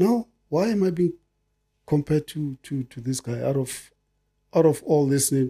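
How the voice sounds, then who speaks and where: A man's somewhat breathy, dark and mellow voice at a fairly high pitch, moderate pace, ordinary pitch variation and long, frequent pauses over a quiet background. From South Africa, Soweto; South Africa. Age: 50s. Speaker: retired footballer; guest. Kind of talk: casual chat. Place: studio. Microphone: studio mic.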